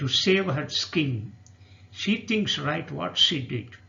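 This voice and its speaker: Speaking at a very slow pace, a man lets his pitch swing very widely. Vocal fry runs through his voice. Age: 60s. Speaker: poet. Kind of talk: poetry reading.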